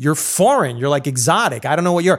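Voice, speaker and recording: With an American accent and a fairly high pitch, a man's voice swings very widely in pitch on a very clean recording with a silent background. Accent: sounds American. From Colombian American, raised in US. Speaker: podcast host. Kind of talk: casual interview chat.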